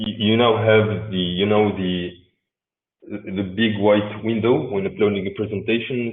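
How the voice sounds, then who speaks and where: This man's voice is fairly low and delivered at a fairly slow pace. His intonation stays flat and monotone. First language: Arabic. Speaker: software developer presenter. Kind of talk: technical presentation. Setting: remote video talk. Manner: halting, many repetitions and fillers.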